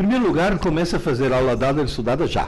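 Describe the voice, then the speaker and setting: Vocal fry and very wide pitch swings mark this voice, heard with audible room echo. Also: man. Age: 70s. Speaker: educator and author. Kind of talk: live Q&A lecture.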